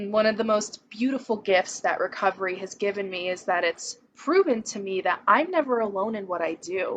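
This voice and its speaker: With hardly any pauses, a woman talks at a moderate pace in an ordinary speaking voice with ordinary pitch variation. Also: medium pitch for a woman. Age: 20s. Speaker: person in recovery. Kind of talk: testimony.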